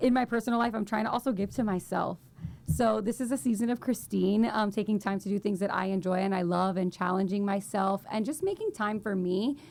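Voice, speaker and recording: Over noticeable background noise, a woman talks at a fairly quick pace and medium pitch, her intonation fairly even and her loudness very even. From Miami, Florida (Cuban-American family). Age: 20s. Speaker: nonprofit fundraiser. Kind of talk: casual chat. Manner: talkative, fast stream of consciousness.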